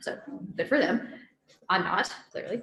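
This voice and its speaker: Here a woman with fairly high pitch speaks in a South Carolina accent. Her pace is moderate. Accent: Southern US (South Carolina). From South Carolina, US South. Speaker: guest speaker. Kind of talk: personal testimony talk. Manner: casual, conversational.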